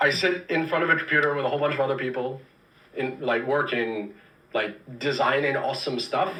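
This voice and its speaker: A man's fairly high, animated voice at a fairly quick pace, ordinary in pitch variation, with audible room echo and noticeable background noise. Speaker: game development director. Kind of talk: livestream Q&A. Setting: live stream.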